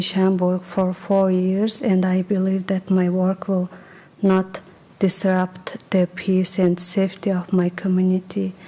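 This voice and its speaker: Over noticeable background noise, a woman with a non-native accent and a medium pitch speaks at a fairly slow pace, her intonation monotone and flat and her loudness very even. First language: not English. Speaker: permit petitioner, cosmetologist. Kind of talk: public testimony. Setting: village board meeting. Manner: halting.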